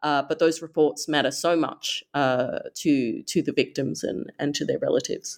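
A woman with an Australian accent talks at a moderate pace. She takes hardly any pauses. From Australia, Perth. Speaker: human rights advocate, author. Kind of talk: interview.

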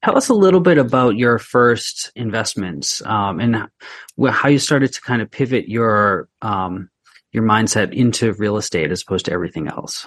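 A man with an unremarkable speaking voice at medium pitch, moderate pace and lively intonation, in a dry, close sound with no echo and a quiet background. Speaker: podcast co-host, real estate professional. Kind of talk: interview questions, conversational. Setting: Boston.

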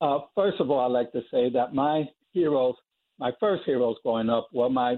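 A man with an American accent and a normal speaking voice, medium in pitch, with fairly even intonation at a moderate pace. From New York (South Bronx). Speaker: athletics coach. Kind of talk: interview. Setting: phone call.

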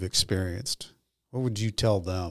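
A man in an ordinary speaking voice talks at a moderate pace with ordinary pitch variation, in a very clean, dry, close recording with a silent background and no echo. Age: 50s. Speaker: podcast host, former prisoner. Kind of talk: interview.

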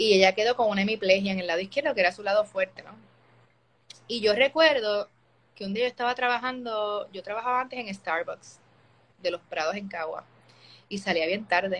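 With long, frequent pauses and big swings in loudness, a woman talks at a fairly quick pace, her medium pitch showing ordinary variation. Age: 30s. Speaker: opera-trained singer. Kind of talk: testimony. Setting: Instagram live video call.

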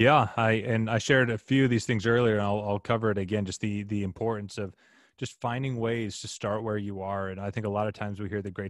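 With an American accent, a man with a fairly low pitch talks at a very fast pace. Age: 20s. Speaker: youth ministry founder and podcast host. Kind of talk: casual interview.

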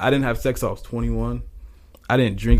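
Speech comes at a moderate speed. An American accent is heard. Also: man. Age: 20s. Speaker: YouTuber. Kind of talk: casual chat.

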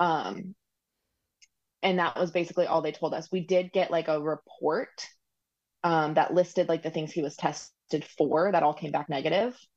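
A woman with a fairly low pitch speaks at a moderate pace with fairly even intonation, in an ordinary speaking voice. The background is quiet. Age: 30s. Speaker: recipient parent of donor-conceived triplets. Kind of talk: casual interview conversation. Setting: video call from home.

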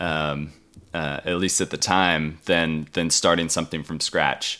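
On a very clean recording with a silent background, a man with an American accent and a bright, sharp tone speaks at a fairly slow pace. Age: 30s. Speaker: musician. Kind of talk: casual interview. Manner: halting, many fillers.

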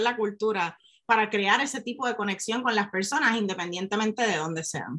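An unremarkable speaking voice from a woman, fairly high in pitch, fairly quick, with lively intonation. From Puerto Rico, rural north coast. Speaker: science communicator and neuroscientist. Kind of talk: interview conversation.

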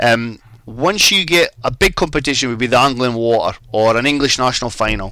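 Through noticeable background noise, someone with a Scottish accent talks at a fairly quick pace with lively intonation. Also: man, medium pitch for a man. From Scotland. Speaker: fly fishing guide. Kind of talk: casual chat.

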